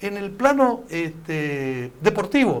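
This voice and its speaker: A man's voice with very wide pitch swings. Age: 70s. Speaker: former provincial official. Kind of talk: political talk show interview.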